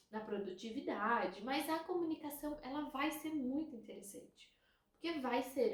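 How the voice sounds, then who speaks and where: The woman speaking has a high-pitched voice. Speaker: relationship coach. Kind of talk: educational talk to camera. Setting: recording a video.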